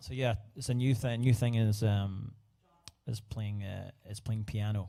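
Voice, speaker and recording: A man's dark, mellow, fairly low voice in a Scottish accent, at a fairly slow pace. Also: fairly even intonation. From Scotland. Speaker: singer-songwriter. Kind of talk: casual live stream chat. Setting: livestream at home. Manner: halting, many fillers.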